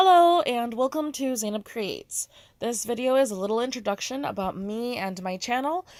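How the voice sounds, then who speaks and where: A woman's high-pitched voice with lively intonation and an American accent. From United States. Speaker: artist and content creator. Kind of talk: casual voiceover monologue. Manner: fast.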